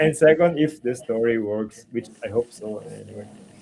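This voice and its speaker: A man speaks in an Italian accent with ordinary pitch variation. Background noise is noticeable. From Italy. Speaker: comic book artist. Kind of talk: casual chat. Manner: halting.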